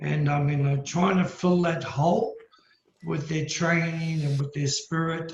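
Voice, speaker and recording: A man with an Australian accent, a fairly slow pace and fairly even intonation. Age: 60s. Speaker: karate master. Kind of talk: casual chat.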